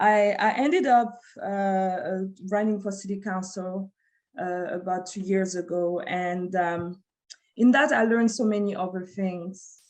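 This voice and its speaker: A woman with a French accent speaks at a fairly slow pace. Her pitch is medium, with ordinary variation. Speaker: community advocate and former city council candidate. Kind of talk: panel discussion. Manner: halting, many fillers and restarts.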